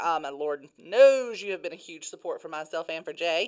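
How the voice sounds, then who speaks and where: With an animated tone, a woman talks in a very clean recording against a silent background. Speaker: company podcast host. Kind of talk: casual interview chat. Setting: podcast room. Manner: loud.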